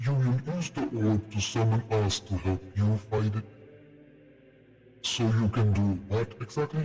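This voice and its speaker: Putting on a character voice, a man speaks at medium pitch and a moderate pace, leaving long, frequent pauses. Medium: actual play. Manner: measured, condescending.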